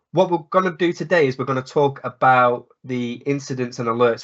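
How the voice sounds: A man talks at a fairly quick pace. His tone is fairly bright and his intonation fairly even.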